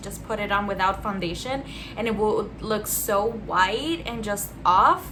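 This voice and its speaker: Noticeable background noise and audible room echo fill the recording. The woman's delivery is fairly slow. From Austria. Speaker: beauty vlogger. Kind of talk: casual chat while doing makeup.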